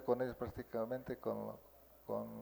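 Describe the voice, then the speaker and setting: Here a man speaks with a Mexican accent. His pitch is medium and his tone dark and mellow. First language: Nahuatl (speaking Spanish). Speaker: Nahuatl-speaking teacher. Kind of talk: interview. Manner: halting.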